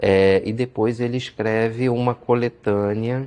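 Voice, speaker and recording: The man's dark, mellow tone unfolds at a very slow pace. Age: 40s. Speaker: history teacher and historian. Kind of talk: interview. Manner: hesitant, with frequent fillers.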